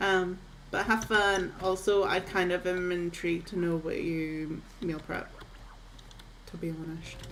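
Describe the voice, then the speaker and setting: A woman with a fairly low pitch speaks at a fairly slow pace with monotone, flat intonation and long, frequent pauses, in a relaxed tone. Noticeable background noise and audible room echo surround her. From northeast Scotland. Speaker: video game streamer. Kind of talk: casual livestream chat. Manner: chatty, relaxed.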